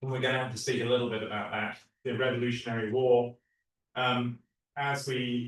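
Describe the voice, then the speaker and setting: The voice is somewhat breathy, with an American accent. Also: man. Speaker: theology professor. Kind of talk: lecture.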